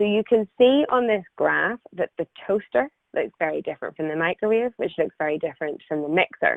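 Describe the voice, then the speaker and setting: Here a woman talks with an Irish accent. Her pitch variation is ordinary. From Ireland. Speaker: engineer presenting her company's technology. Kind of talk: webinar presentation.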